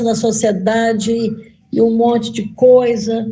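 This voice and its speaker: In a room with audible echo, a woman speaks fairly slowly at a high pitch in a dark, mellow tone. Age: 60s. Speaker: veteran missionary. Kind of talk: encouraging testimony in a group discussion.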